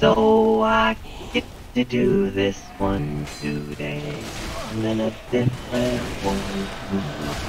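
Someone uses a put-on character voice at a fairly slow pace. Long, frequent pauses break it up, and clear background noise runs underneath. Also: man, medium pitch for a man. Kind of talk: electronic voice-changer effect. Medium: game stream. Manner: teasing, gleeful, mocking.

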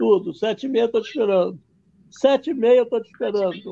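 At a moderate pace, a man speaks with an extremely high pitch and a dark, mellow tone. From Brazil, Rio de Janeiro. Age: 70s. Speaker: documentary filmmaker. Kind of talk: interview on a livestream. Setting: video call. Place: home room. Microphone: video call.

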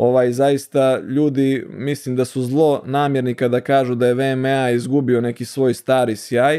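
A dark, mellow voice moves at a fairly slow pace with hardly any pauses. The intonation is monotone and flat, the background quiet. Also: man, medium pitch for a man. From Montenegro, Bar; Montenegro. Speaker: ENT surgeon; guest. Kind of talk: interview. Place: studio. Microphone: studio mic.

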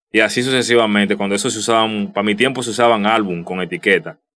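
A man with a Dominican accent speaks in a bright, sharp tone. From Dominican Republic. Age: 30s. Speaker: youtuber. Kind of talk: casual vlog commentary. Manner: halting, many repetitions and fillers. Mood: somber, nostalgic tribute. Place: home room.

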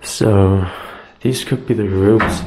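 Over light background noise and audible room echo, a man talks at a fairly slow pace in a monotone, flat intonation. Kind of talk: casual vlog commentary. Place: office.

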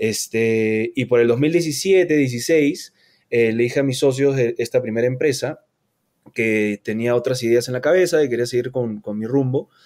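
A man with a normal speaking voice at a fairly slow pace. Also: medium pitch for a man, ordinary pitch variation. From Peru, Lima. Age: 30s. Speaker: entrepreneur, culinary school co-founder. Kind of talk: casual interview.

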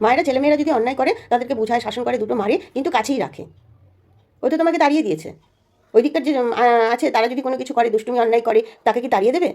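Ordinary pitch movement from a woman speaking high. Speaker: vlogger, grandmother. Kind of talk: family argument vlog.

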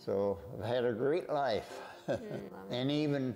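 A man speaks at a fairly slow pace with an American accent and a fairly high pitch. Faint music plays in the background. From South Dakota, USA. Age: 100 years old. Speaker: World War Two veteran, retired home builder. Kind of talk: interview answer. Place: home room. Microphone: lapel.

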